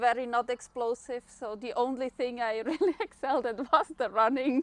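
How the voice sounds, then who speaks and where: A woman with a Swiss German accent speaks at a high pitch, and the sound is dry and close with no echo. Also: ordinary pitch variation, moderate pace. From Switzerland. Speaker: long-distance runner. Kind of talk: podcast interview. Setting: outdoors.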